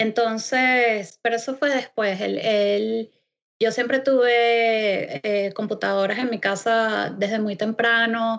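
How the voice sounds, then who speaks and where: Very slowly, a woman speaks in a fairly high, monotone voice with flat intonation. The background is quiet. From Venezuela. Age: 40s. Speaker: web developer. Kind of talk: interview. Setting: video call. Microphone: Skype connection.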